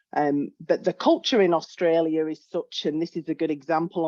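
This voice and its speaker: In a British accent, a woman with a dark, mellow tone speaks at a moderate pace, the sound dry and close with no echo. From UK. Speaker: health economics researcher. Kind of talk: webinar presentation. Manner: hesitant, with fillers.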